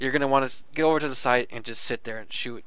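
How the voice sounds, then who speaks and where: A man's bright, sharp tone, monotone, flat intonation, and audible room echo. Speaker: gaming video reviewer. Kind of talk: game tutorial with gameplay commentary. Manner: fast; casual, many fillers and restarts.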